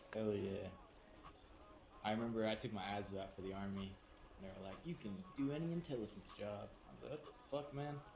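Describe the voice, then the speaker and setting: With audible room echo, a man speaks at a fairly quick pace and a fairly low pitch, using lively intonation and long, frequent pauses. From California, San Diego. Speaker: gaming streamer. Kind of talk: casual chat.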